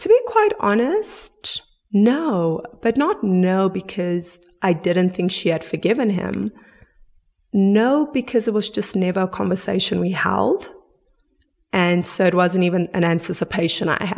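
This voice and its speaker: A woman talks at a fairly slow pace. Her pitch is medium, with ordinary pitch variation. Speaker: forgiveness advocate. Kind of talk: interview answer.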